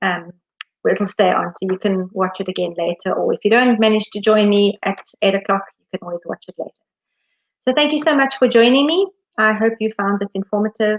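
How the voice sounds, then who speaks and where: The recording is dry and close, with no echo. A woman speaks in a fairly high voice with ordinary pitch variation and big swings in loudness. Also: fairly quick pace. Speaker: education consultant. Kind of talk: live webinar Q and A. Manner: fast; mumbling.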